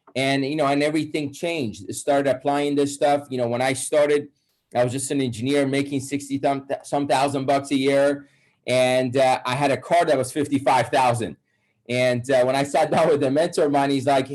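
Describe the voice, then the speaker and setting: Fairly high in pitch for a man, this speaker has a Persian accent and keeps his intonation fairly even. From Iran. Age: 30s. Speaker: wealth coach. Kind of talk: webinar presentation.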